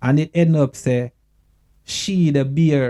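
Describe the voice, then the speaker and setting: Speaking at a very slow pace in a Jamaican accent, a man has a dark, mellow tone, a fairly high pitch with ordinary pitch variation, and a dry, close sound with no echo. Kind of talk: casual talk to camera. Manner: earnest, emotional.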